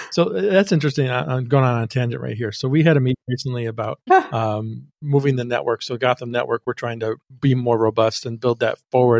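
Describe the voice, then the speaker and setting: A plain, everyday voice runs at a fairly quick pace with hardly any pauses and ordinary pitch variation, the sound dry and close with no echo. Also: man, medium pitch for a man. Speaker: podcast studio founder. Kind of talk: casual interview chat.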